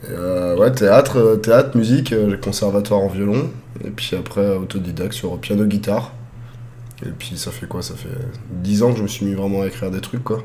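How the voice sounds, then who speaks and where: Noticeable background noise and audible room echo surround a man with a fairly low pitch and ordinary pitch variation. He goes at a moderate pace with long, frequent pauses and big swings in loudness. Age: 30s. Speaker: streamer and amusement park operator. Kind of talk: casual chat. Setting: live stream.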